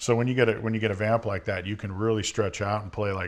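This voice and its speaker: Speaking at a very fast pace, a man keeps a monotone, flat intonation at a fairly low pitch. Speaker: rock drummer. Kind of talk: interview. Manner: soft-spoken.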